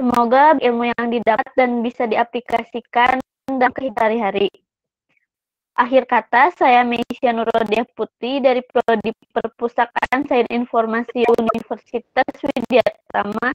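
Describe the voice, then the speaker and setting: Against a quiet background, a woman speaks at a fairly slow pace in a high-pitched voice with monotone, flat intonation. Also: dry sound with no echo. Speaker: student event MC. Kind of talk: formal announcement. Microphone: video call.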